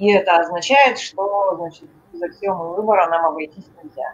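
A woman at a moderate pace. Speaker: discussion group participant. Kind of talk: academic discussion. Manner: formal. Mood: inquisitive, thoughtful. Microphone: video call.

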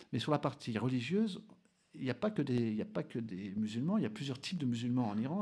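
Against a quiet background, a man speaks at a very fast pace in a medium pitch, his dark, mellow tone rising and falling in very wide pitch swings. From French Basque Country (Bidart); French Basque Country. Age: 40s. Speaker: adventurer and explorer; interview guest. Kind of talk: radio interview. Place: studio. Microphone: studio mic.

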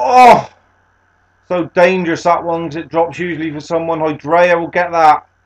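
A man with a British accent speaks at a high pitch. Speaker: gaming YouTuber. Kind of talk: sports commentary over video game highlights.

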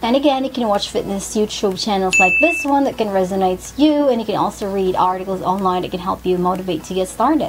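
A woman talks at a fairly quick pace while loud noise fills the background. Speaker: fitness vlogger. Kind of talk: casual vlog chat. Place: home room.

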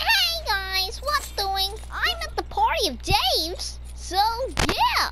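Extremely high-pitched put-on character voice at a very slow pace

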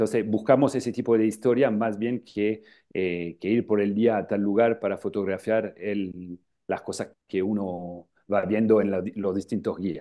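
Over a quiet background, a man with a French accent talks at a fairly slow pace and fairly low pitch with fairly even intonation. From northern France, Lille; France. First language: French (speaking Spanish). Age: 40s. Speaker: travel agency founder. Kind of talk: interview. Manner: halting, many filler sounds. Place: office. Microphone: earbuds.

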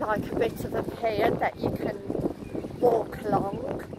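The voice moves at a fairly slow pace with little pitch movement. Clear background noise runs underneath. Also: woman, medium pitch for a woman.

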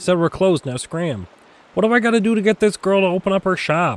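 Pausing often and at length, a man speaks fairly quickly in a high voice with ordinary pitch variation, the sound dry and close with no echo. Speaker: gaming streamer. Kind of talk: live gameplay commentary.

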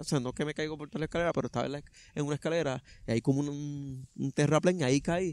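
An ordinary speaking voice moves at a fairly quick pace with fairly even intonation, the sound dry with no echo. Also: man. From Puerto Rico, Vega Baja; Puerto Rico. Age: 30s. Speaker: truck driver and trail runner; interviewee. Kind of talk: interview, personal story. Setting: outdoors in a park. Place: open country.

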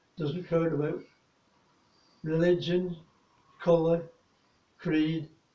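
Audible room echo surrounds a man speaking at a fairly slow pace and fairly high pitch. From England. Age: 80s+. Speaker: war veteran. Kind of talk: recorded address to an audience. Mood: earnest, warm, solemn. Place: home room.

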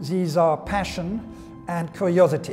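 A man's fairly even intonation over clear music in the background. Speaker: auctioneer. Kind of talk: interview answer. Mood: calm, reflective, warm. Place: hall. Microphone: lapel.

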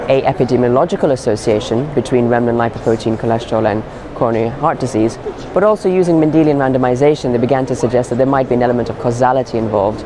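Here a man talks at a very fast pace. Noticeable background noise runs under his voice. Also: ordinary pitch variation. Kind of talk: interview answer. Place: hall.

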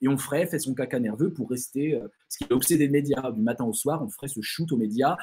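Faint background music behind a man's voice. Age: 40s. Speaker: philosopher and writer giving a talk; speaker. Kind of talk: online lecture with Q&A. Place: home room.

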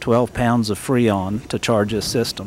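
Light background noise sits behind a man with an American accent. He has an ordinary speaking voice with fairly even intonation. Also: dry sound with no echo. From West Virginia. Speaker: classic car dealer; car owner or show guide. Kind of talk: interview. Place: hall. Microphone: old recording.

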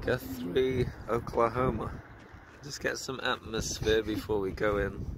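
A man at a fairly low pitch and fairly slow pace, with ordinary pitch variation and noticeable background noise. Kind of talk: casual arcade tour commentary.

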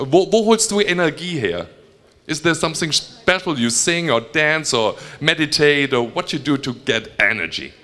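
Lively intonation from a man, delivered at a moderate pace. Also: fairly high pitch for a man. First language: German. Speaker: fan talk host and interpreter; fan talk host. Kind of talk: live fan Q&A with interpreting. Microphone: handheld.

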